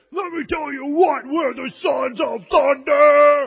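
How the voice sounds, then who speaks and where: This is a put-on character voice with a high pitch. It moves at a fairly slow pace. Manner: loud, bombastic.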